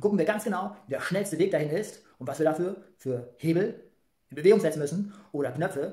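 Fast speech from a man with a fairly high pitch, a slightly mellow tone and ordinary pitch variation

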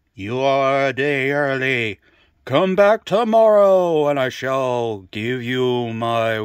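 A man's put-on character voice at a medium pitch and a very slow pace. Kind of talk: mock-solemn comic oracle.

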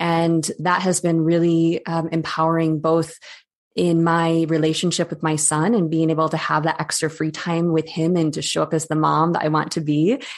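A woman with an Upper Midwest accent speaks at a fairly low pitch and a moderate pace, with monotone, flat intonation. Her loudness is very even, and the background is quiet. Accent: Upper Midwest American. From western Michigan. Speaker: breathwork teacher. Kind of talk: interview.

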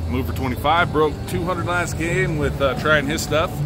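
A man talks at a fairly slow pace with loud noise in the background. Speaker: channel host. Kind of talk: casual vlog chat. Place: hall.

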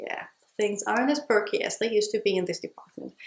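A woman speaks in a space with audible room echo. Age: 30s. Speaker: beauty vlogger. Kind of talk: tutorial. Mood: candid, lightly humorous. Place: home room.

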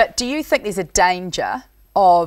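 Over a quiet background, a woman with a New Zealand accent talks fairly slowly at medium pitch. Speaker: rural current affairs TV presenter. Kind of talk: TV panel discussion hosting. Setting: TV studio. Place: studio. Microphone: lapel.

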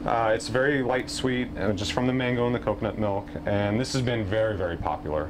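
With hardly any pauses, a man races along at a very fast pace in a fairly low voice with ordinary pitch variation, noticeable background noise behind him. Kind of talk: interview answer. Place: street.

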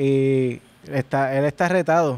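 Dark and mellow in tone, a man talks with fairly even intonation in a Puerto Rican accent. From Puerto Rico. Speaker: musician; podcast guest. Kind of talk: casual chat. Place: home room. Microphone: handheld.

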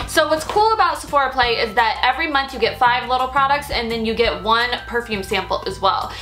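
A woman with a high pitch talks at a very fast pace. Faint music plays in the background. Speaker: beauty vlogger. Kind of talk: casual vlog chat. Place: home room.

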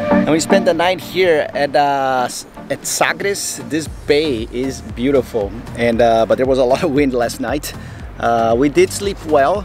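Against clear background music, a man talks in a dry sound with no echo. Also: fairly slow pace. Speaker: sailing vlogger. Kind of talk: casual vlog chat. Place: boat. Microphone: phone near.

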